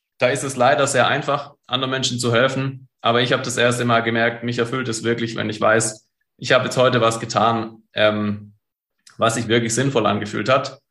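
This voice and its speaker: This man's bright, sharp tone sits at a medium pitch, his intonation monotone and flat as he keeps a moderate pace. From Stuttgart, southwest Germany. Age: 30s. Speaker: entrepreneur and coach. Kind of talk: interview.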